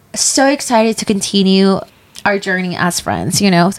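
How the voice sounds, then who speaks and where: This woman talks at a moderate pace with a medium pitch. Noticeable background noise runs under her voice. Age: 20s. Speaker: podcast co-host. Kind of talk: casual chat.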